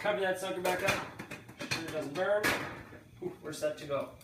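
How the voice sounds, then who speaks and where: A man's high-pitched voice with ordinary pitch variation, light background noise and audible room echo. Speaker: home cook host. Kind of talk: tutorial. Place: kitchen. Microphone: camera far.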